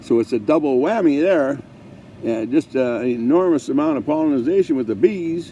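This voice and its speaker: There is noticeable background noise as a man speaks at a moderate pace with lively intonation. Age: 70s. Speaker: vlogger with ALS. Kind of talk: casual monologue. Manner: halting.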